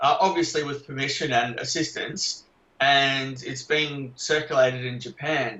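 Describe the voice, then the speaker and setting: At a moderate pace, a man talks in an Australian accent. His pitch variation is ordinary. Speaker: investigative journalist and author. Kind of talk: podcast interview pre-talk. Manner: direct.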